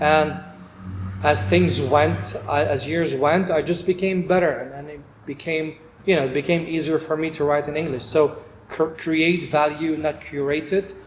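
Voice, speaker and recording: Noticeable background noise sits behind a man who talks at a moderate pace with a fairly high pitch and ordinary pitch variation. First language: not English. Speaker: podcast host. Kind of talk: casual chat.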